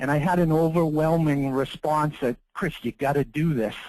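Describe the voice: A man at a fairly high pitch, with ordinary pitch variation, a moderate pace and a slightly mellow tone.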